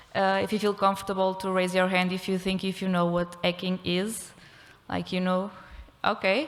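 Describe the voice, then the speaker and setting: With a Portuguese accent, a woman talks at a moderate pace in a medium pitch and a monotone, flat intonation. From Portugal. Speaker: criminology researcher. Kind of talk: conference talk. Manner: halting.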